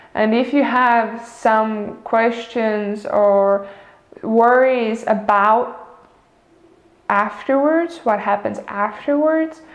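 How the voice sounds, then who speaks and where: At a very slow pace, a woman speaks in a fairly high pitch with ordinary pitch variation, and audible room echo surrounds her. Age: 20s. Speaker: vlogger. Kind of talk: casual vlog monologue. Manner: halting, many fillers.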